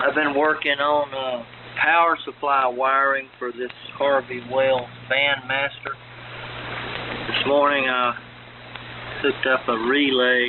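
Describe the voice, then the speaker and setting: A man's medium-pitched voice in monotone, flat intonation, at a fairly slow pace with long, frequent pauses, over noticeable background noise. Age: 60s. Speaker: ham radio operator. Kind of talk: radio net check-in. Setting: amateur radio AM transmission.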